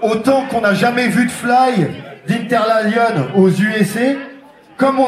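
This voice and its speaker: Over noticeable background noise and audible room echo, a man speaks at a very slow pace in an extremely high pitch. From France, Tours. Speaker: sound system MC. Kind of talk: soundclash MC talk. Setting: stage with audience. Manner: animated.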